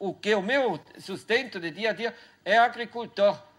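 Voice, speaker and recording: A man with a high pitch talks at a fairly slow pace, his pitch varying in an ordinary way. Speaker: farmer and researcher. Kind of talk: Q&A after lecture. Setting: university auditorium. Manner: halting.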